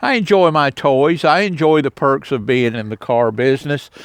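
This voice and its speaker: A man with an unremarkable speaking voice talks fairly slowly, his pitch varying in an ordinary way. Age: 60s. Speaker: semi-retired car dealer and vlogger. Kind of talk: casual video tour vlog. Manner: relaxed, with frequent fillers.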